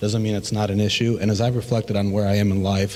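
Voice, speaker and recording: A man's fairly low voice with an American accent. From US Midwest, Chicago. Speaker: school board candidate. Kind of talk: candidate forum statement. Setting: public forum with audience. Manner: halting, many fillers.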